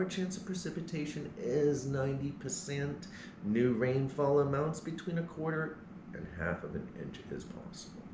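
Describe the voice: A man with a medium-pitched voice speaks at a fairly slow pace, with audible room echo.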